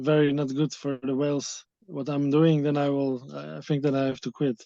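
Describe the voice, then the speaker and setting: A man speaks with a Dutch accent at a fairly high pitch. His tone is dark and mellow, and his intonation is monotone and flat. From Netherlands. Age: 30s. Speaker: wildlife tour operator. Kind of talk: interview. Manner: halting.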